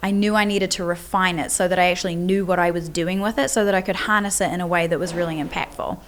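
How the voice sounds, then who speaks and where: A woman in a New Zealand accent at a medium pitch, with a very fast pace and fairly even intonation. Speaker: business coach. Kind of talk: podcast interview. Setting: at a live event venue.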